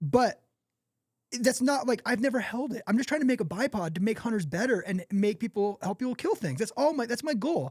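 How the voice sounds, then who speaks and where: At a fairly quick pace, a man speaks in an extremely high voice with an animated tone. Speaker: tripod company founder. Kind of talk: podcast interview. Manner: fast.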